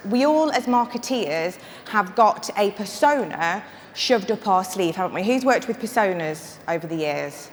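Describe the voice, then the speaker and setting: With a northern English accent, a woman talks at a moderate pace, her pitch swinging very widely. Noticeable background noise runs underneath. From northern England. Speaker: marketing consultant and conference speaker. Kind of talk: conference talk. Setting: stage with audience. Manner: casual and humorous.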